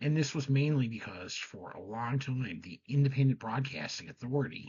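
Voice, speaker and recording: Soft-spoken and somewhat breathy, a man talks at a moderate pace with a medium pitch. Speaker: game show history presenter. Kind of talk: scripted commentary.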